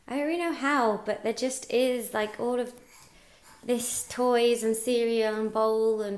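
The speaker is a woman. Her voice rises and falls in an ordinary way. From London. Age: 20s. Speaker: mum vlogger. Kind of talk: casual vlog talk to camera. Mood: cheerful, chatty. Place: home room. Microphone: phone near.

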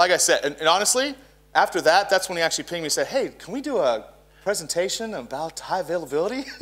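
A man with an American accent talks at a very fast pace and a high pitch. His pitch swings very widely. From Dallas, Texas; Texas. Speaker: co-presenter and SQL/SharePoint consultant; presenter. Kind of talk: technical conference lecture. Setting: conference room with audience. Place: stage. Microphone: handheld.

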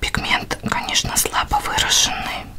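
Whispering and soft-spoken, the speaker moves at a very slow pace amid noticeable background noise. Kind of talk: tutorial. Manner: soft ASMR whisper. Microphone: camera far.

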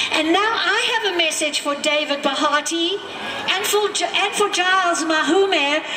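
With noticeable background noise behind her, a woman speaks in a raised, projected voice of extremely high pitch, with ordinary pitch variation and a moderate pace. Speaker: activist. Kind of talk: rally speech. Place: street.

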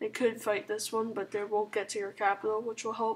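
A woman speaks quietly at a fairly high pitch. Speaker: gaming commentator. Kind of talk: gameplay commentary. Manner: casual, hesitant with fillers.

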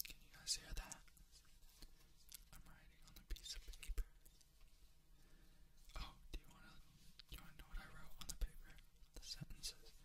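A woman whispers at a moderate pace, leaving long, frequent pauses, her loudness swinging widely. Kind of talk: ASMR whisper talk. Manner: rambling, unscripted.

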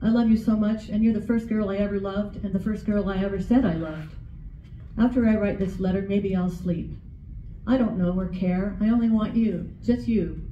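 Fairly quick female speech with fairly even intonation, audible room echo, and light background noise. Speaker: writing group member, poet; poet. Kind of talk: spoken word, tender love poems and letters to late husband. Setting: library reading with audience. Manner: gentle and intimate, tender reading; emotional, pausing with nervous laughs. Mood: tender, heartfelt. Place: hall. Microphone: camera far.

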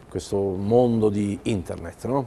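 A man speaks at a fairly slow pace in a fairly low voice. Light background noise can be heard. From Italy, Bari (Apulia); Italy. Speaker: writer and journalist; journalist. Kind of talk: TV interview. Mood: reflective, mildly ironic. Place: studio. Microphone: lapel.

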